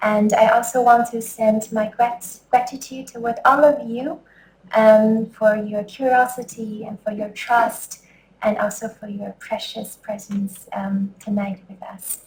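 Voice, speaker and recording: Somewhat breathy, a woman speaks at a fairly slow pace with fairly even intonation and big swings in loudness. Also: fairly high pitch for a woman. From China, Beijing. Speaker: scholar and dramaturg. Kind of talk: lecture. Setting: lecture hall with audience. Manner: halting.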